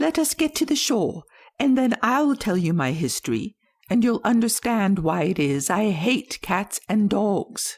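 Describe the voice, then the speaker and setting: Delivered at a moderate pace, a shaky put-on character voice comes through on a very clean recording with a silent background. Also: female-sounding voice, fairly high pitch for a woman. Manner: low trembling, pale with passion.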